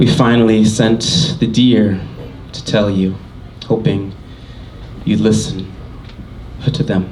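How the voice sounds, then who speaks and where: Amid noticeable background noise and audible room echo, a man with a fairly low pitch speaks very slowly with long, frequent pauses. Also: ordinary pitch variation. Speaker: poet and musician. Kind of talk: poetry reading. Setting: stage with audience.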